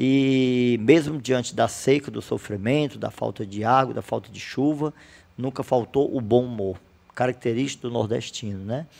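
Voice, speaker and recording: A man with a medium-pitched, unremarkable speaking voice talks at a moderate pace, his loudness swinging widely and his pitch varying in the usual way. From Brazil, Ceará (Fortaleza), teens in Mossoró. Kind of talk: casual interview.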